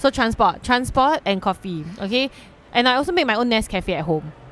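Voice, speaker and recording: Over a silent background in a very clean recording, a woman talks at a fairly quick pace with a fairly high pitch and very wide pitch swings. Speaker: podcast co-host. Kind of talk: casual chat. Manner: fast.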